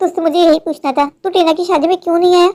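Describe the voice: In a cartoonish character voice, the speaker rattles along at a very fast pace with an extremely high pitch.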